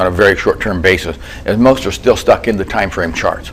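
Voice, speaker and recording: A man talks at a very fast pace in a fairly low pitch. His pitch varies in an ordinary way, and background noise is noticeable. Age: 70s. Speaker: trading author and trader. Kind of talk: interview.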